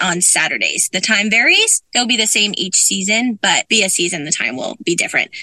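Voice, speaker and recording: A plain, everyday voice speaks at a fairly quick pace with an American accent. The sound is dry and close with no echo. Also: woman. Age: 20s. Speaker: youth soccer program director. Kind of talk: interview.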